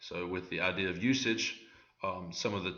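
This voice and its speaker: In a room with audible echo, a man speaks at a very deep, low pitch in a monotone, flat intonation. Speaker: student presenter. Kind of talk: tutorial. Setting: screen recording. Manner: hesitant, many fillers.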